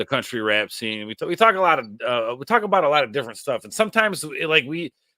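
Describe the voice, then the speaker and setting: With an American accent, a man talks at a very fast pace in a fairly high pitch, his bright, sharp tone showing very wide pitch swings. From Northern Illinois, near Rockford. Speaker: podcast host. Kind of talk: casual chat. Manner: animated.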